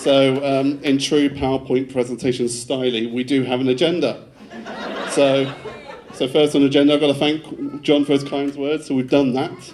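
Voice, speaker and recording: A man with a Devon accent speaks at a fairly high pitch in a monotone, flat way. Noticeable noise sits in the background. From England, Devon. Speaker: groom. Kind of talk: wedding speech. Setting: wedding reception with audience. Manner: fast.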